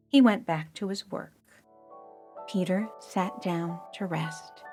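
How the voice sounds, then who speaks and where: A woman speaks with an American accent at a very slow pace, with ordinary pitch variation. Music plays in the background. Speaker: audiobook narrator. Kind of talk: children's audiobook reading.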